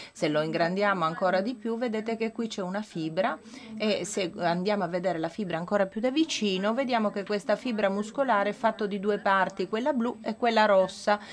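A woman talks with ordinary pitch variation against light background noise. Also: medium pitch for a woman, fairly quick pace. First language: not Italian (speaking Italian). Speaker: medical researcher; conference presenter. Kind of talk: lecture. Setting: conference with audience. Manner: halting, with many fillers. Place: hall. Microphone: podium.

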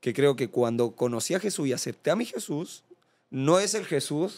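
This man has a normal speaking voice at fairly high pitch. He talks fairly slowly with lively intonation. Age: 20s. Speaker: professional footballer. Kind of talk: casual interview chat.

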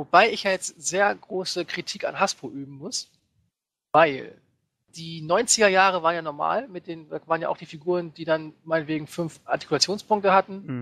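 A man's high, bright, sharp voice at a moderate pace with ordinary pitch variation, in a dry, close sound with no echo. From northern Germany. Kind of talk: casual chat.

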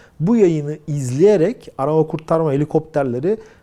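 This man's fairly high voice has a dark, mellow tone and very wide pitch swings at a moderate pace. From Turkey. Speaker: aviation news commentator. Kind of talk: video commentary. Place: home room. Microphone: lapel.

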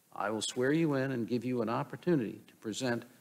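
His pitch shifts in an ordinary way. The man talks at a fairly quick clip. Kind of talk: formal procedural reading. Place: hall. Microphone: podium.

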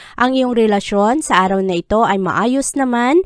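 At a moderate pace, a woman with a normal speaking voice talks with ordinary pitch variation. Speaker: horoscope reader. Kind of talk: scripted narration.

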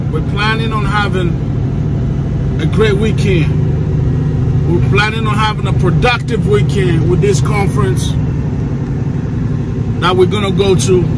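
A man at a fairly slow pace with long, frequent pauses, over loud background noise. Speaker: truck driver vlogger. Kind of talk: casual vlog chat. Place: car. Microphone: phone near.

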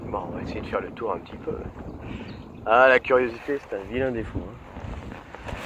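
A man with a medium pitch speaks at a moderate pace with long, frequent pauses and big swings in loudness. The sound is dry with no echo, with light background noise. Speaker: vlogger. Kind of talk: casual vlog narration. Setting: outdoors, on a river in a kayak. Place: boat. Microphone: phone near.

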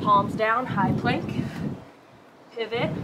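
A woman speaks over loud background noise. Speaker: fitness instructor. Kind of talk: workout instruction. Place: garden.

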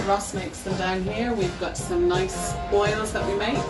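Clear music plays in the background as a woman speaks with ordinary pitch variation. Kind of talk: interview answer. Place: cafe. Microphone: phone near.

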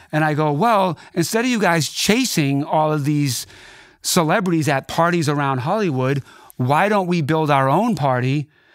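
A man speaks at a moderate pace with a fairly high pitch, an animated tone, and lively intonation. His loudness stays very even, and the sound is dry with no echo over a quiet background. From Boston, Dorchester; Boston. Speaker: DJ and record producer; DJ. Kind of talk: casual interview chat. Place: studio. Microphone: studio mic.

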